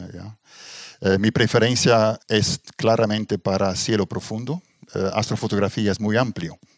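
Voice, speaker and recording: A man speaks at a fairly slow pace with fairly even intonation. The sound is dry and close, with no echo. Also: fairly low pitch for a man. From Belgium, Ghent (Flemish region). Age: 60s. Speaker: astrophotographer, retired engineer. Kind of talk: interview conversation. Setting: at his private observatory. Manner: halting, many fillers.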